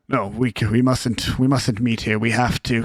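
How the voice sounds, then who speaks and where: A raspy, put-on character voice speaks at a moderate pace in a monotone, flat intonation. The loudness is very even, and the sound is dry and close with no echo. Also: man, medium pitch for a man. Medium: actual play. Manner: fragmented, faint.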